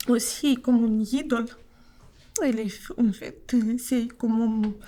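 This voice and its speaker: A woman's voice has a dark, mellow tone and a fairly high pitch. She speaks at a very slow pace with fairly even intonation. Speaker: migrant interviewee. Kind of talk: testimony. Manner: halting.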